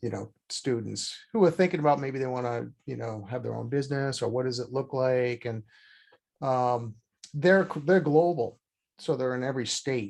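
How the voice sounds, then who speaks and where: A Boston accent at a moderate pace with ordinary pitch variation over a quiet background. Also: man, medium pitch for a man. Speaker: podcast host and accounting firm owner. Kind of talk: interview conversation.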